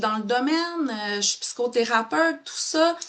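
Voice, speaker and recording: Here a woman speaks with a Quebec accent. Her pitch swings very widely. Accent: Québécois French. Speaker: psychotherapist. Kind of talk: live webinar talk. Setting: Facebook live stream. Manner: animated.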